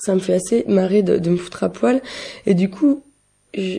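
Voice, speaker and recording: Her dark, mellow tone comes through as the woman speaks at a fairly slow pace. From western France (Vendée, Nantes). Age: 20s. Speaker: student and queer activist. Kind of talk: interview. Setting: pre-recorded interview.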